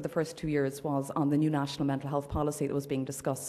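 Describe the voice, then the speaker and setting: A woman speaks with an Irish accent over noticeable background noise. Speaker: human rights campaigner. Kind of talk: conference address. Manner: loud.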